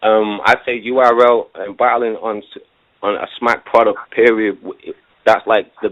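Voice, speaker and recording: A man with an English accent, medium pitch, monotone, flat intonation and big swings in loudness. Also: moderate pace. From England. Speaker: battle rapper. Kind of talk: casual interview.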